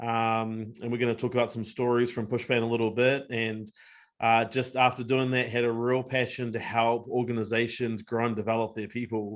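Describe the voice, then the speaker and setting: A man talks at a fairly quick pace in a New Zealand accent. His intonation stays monotone and flat. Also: medium pitch for a man. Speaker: company co-founder. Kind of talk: webinar discussion. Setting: video webinar.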